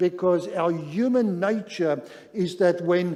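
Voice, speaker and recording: Noticeable background noise fills the clip. A man speaks slowly, fairly so, in a high pitch. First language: not English; Zulu is second language. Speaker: pastor. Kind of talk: sermon.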